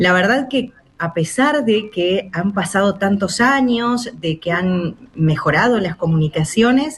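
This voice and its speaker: A woman with an Argentine accent talks over noticeable background noise. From Chubut, Patagonia, Argentina. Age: 40s. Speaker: radio announcer. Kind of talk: radio interview answer.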